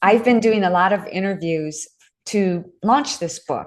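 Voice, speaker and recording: A woman with an unremarkable speaking voice talks at a fairly slow pace and medium pitch over a quiet background. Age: 60s. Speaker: author and fitness instructor. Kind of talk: podcast interview.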